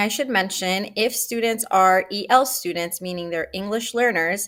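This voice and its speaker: A woman with a Spanish accent, fairly high pitch, ordinary pitch variation and a fairly slow pace. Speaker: school counselor. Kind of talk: informational presentation.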